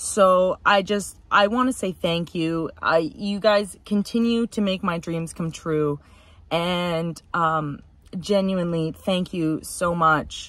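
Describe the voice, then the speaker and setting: A woman speaks very slowly at a medium pitch with ordinary pitch variation. The sound is dry, with no echo. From Canada. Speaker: car enthusiast YouTuber; car vlogger. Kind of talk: casual vlog update. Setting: inside a car. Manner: hesitant, many fillers. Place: car. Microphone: phone near.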